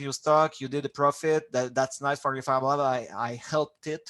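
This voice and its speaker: A man with a strong non-native accent, a bright, sharp tone, fairly high pitch and a moderate pace. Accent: strong foreign. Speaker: fab lab manager. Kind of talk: presentation and Q&A in an online meeting. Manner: halting, many repetitions and fillers.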